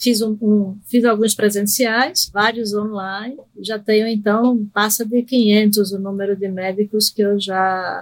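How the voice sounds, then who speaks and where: A woman speaks at a very slow pace in a fairly high voice, with fairly even intonation and hardly any pauses. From Recife, Brazil (born in Argentina). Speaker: psychiatrist. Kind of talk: interview on medical topic.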